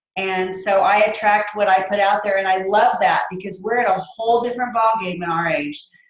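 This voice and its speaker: With audible room echo, a woman talks at a fairly quick pace with hardly any pauses and fairly even intonation. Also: medium pitch for a woman. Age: 50s. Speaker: fitness coach. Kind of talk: casual testimony.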